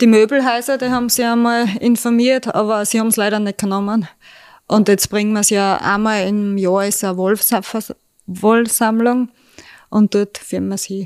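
With a fairly high pitch, a woman speaks in a flat, monotone way. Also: moderate pace. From Austria, Styria (Kapfenberg). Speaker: sheep farmer. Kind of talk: casual interview. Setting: at a kitchen table.

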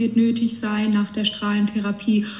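Fairly high pitch from a woman at a moderate pace, with noticeable background noise. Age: 20s. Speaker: cancer patient, bank clerk. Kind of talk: casual chat.

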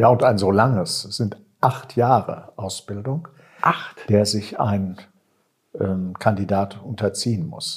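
A man speaks very slowly in a fairly low, somewhat breathy voice. His pitch varies in an ordinary way. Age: 50s. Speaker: seminary director, priest. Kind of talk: interview conversation. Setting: seminary building.

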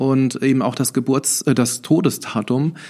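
A man speaks very slowly. Fairly even intonation runs through his speech. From Germany, Nassau area (Rhineland-Palatinate). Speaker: civil servant and St. Martin performer. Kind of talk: interview. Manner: hesitant, many fillers.

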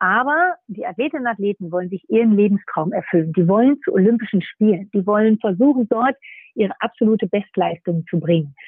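A woman's fairly high, a plain, everyday voice at a moderate pace. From northern Germany, Nordhorn (Lower Saxony). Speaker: sports federation executive. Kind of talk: interview. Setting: remote line.

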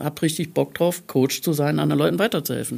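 A woman's very deep, low voice, dark and mellow in tone, with vocal fry. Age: 50s. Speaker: life coach. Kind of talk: casual chat. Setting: studio.

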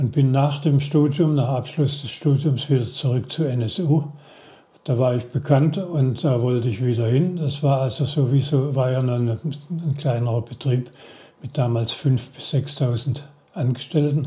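Fairly slow and fairly even in intonation, a man speaks at a medium pitch. His tone is dark and mellow, somewhat breathy. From Baden-Württemberg, Heilbronn district. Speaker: retired automotive engine engineer. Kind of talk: interview storytelling. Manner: halting with repetitions.

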